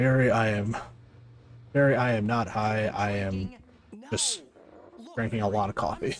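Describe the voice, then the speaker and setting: Against noticeable background noise, a man speaks at a moderate pace and medium pitch in a calm tone, with fairly even intonation and long, frequent pauses. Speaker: gaming streamer. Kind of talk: casual livestream commentary. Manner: low-energy, calm.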